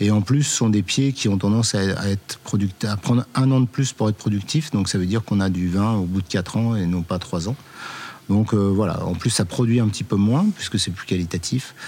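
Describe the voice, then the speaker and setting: A man's fairly low voice at a moderate pace with ordinary pitch variation. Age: 50s. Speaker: winemaker. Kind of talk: interview. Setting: on location. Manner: halting.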